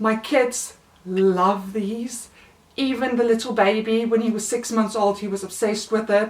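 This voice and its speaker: A woman with a South African accent talks at a moderate pace in a fairly high pitch. Her intonation is monotone and flat, with noticeable background noise. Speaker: mother of three, haul vlogger. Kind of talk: casual talk to camera.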